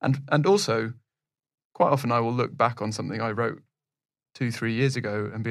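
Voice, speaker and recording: On a very clean recording with a silent background, a man of medium pitch talks at a fairly quick pace with vocal fry and ordinary pitch variation. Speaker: podcast host. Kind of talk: casual interview.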